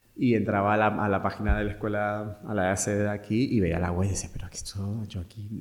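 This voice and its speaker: With a fairly low voice and fairly even intonation, a man speaks at a fairly quick pace. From Argentina, Mendoza. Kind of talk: interview, personal story. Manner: halting.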